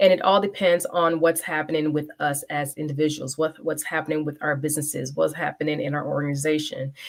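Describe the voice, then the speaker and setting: A woman with a very deep, low pitch talks at a very fast pace with hardly any pauses. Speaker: leadership consultant and show host. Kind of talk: live stream talk show monologue. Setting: live stream on LinkedIn and YouTube. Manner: animated.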